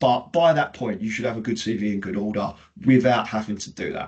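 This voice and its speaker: A man in a British accent keeps ordinary pitch variation at a fairly quick pace. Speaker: payroll recruitment consultant. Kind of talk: webinar presentation. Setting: video call webinar. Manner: fast.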